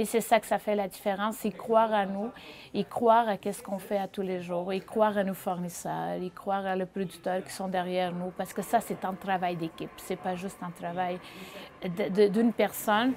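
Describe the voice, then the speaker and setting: At a moderate pace, a woman with a Portuguese accent speaks at a medium pitch in a monotone, flat delivery. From Portugal, small village. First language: Portuguese (speaking French). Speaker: chef and restaurateur. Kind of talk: interview. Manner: halting with repetitions.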